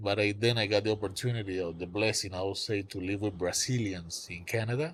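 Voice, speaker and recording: A man with a Cuban accent speaks at a very fast pace with a fairly low pitch. His voice is somewhat breathy, with fairly even intonation. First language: Spanish. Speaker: songwriter. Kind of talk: casual chat.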